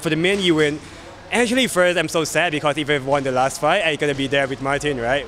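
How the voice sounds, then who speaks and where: A man with a Thai accent at a very fast pace, ordinary pitch variation, and light background noise. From Thailand. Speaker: MMA fighter. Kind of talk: interview. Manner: halting, frequent repetitions. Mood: relaxed, smiling. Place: hall.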